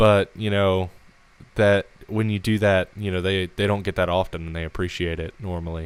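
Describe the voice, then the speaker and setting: Speaking at a moderate pace, a man has a very deep, low pitch. His intonation is monotone and flat. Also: very clean recording, silent background. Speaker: podcast host. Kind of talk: casual chat. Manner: hesitant, many fillers.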